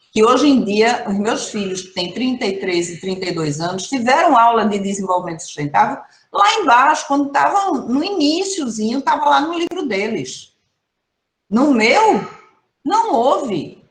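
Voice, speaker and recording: Delivered at a moderate pace in an animated tone, the speech has very wide pitch swings and big swings in loudness, with audible room echo. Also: woman, fairly high pitch for a woman. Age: 60s. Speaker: professor, environmental management specialist. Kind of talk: online training talk. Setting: video call. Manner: conversational, animated.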